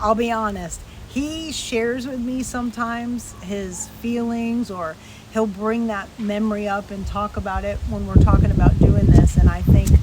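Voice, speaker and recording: Noticeable background noise and audible room echo accompany a woman speaking at a moderate pace with big swings in loudness. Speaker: associate pastor. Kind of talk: casual chat. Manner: animated.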